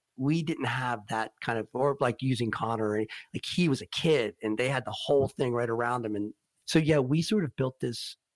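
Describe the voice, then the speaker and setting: An ordinary speaking voice from a man, medium in pitch with ordinary pitch variation, at a moderate pace, dry and close with no echo, in a very clean recording with a silent background. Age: 50s. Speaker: singer-songwriter and guitarist. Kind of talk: interview.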